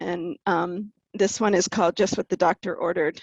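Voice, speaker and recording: A woman with a plain, everyday voice and fairly even intonation is heard in a dry, close sound with no echo and a quiet background. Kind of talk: artist talk presenting slides. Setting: video call.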